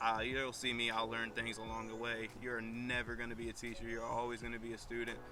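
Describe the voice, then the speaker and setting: A man with a strong Virginian accent is heard with audible room echo and music in the background. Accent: strong rural Virginian. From Virginia (Madison County, rural). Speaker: small business owner. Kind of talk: casual vlog introduction.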